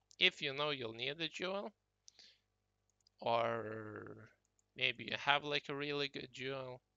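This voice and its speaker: A non-native accent at a fairly slow pace with long, frequent pauses. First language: not English. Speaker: gaming YouTuber. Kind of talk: tutorial. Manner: casual, hesitant with fillers.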